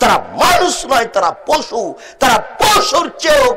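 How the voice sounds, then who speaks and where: A man's pitch rises and falls very widely, with background noise clearly noticeable. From Bangladesh. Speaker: Islamic preacher. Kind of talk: religious sermon.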